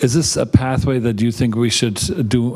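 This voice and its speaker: A man's medium-pitched voice at a fairly quick pace, with fairly even intonation and noticeable background noise. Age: 60s. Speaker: surgeon interviewer. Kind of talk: interview.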